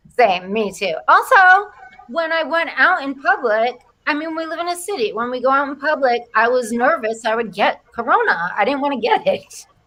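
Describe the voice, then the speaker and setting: Projecting her raised voice, a woman with a Rhode Island accent speaks at a moderate pace in a high pitch with very wide pitch swings. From Rhode Island, US. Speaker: comedian. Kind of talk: casual chat.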